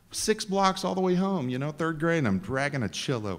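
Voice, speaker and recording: With a Texan accent, a man talks at a fairly high pitch, his voice making very wide pitch swings. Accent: Texan US Southern. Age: 60s. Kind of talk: talk to a live audience. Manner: conversational, joking, interactive.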